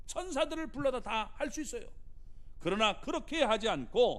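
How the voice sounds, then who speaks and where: In a room with audible room echo, a man uses a raised, projected voice with a bright, sharp tone and very wide pitch swings. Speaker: pastor. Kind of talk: sermon.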